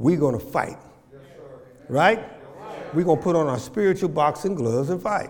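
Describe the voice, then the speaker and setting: Over noticeable background noise, a man with a fairly high pitch speaks at a moderate pace in an animated tone with lively intonation and long, frequent pauses. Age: 70s. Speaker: pastor. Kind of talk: sermon. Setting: church.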